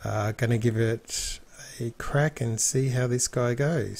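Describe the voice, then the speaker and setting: A somewhat breathy man with an Australian accent, medium pitch and ordinary pitch variation. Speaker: gaming video narrator. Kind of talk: let's play commentary. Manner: casual, hesitant with fillers.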